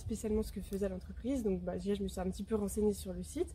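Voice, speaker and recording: A woman's very fast speech. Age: 20s. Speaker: intern, business administration student. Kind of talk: interview testimony. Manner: hesitant, many filler sounds.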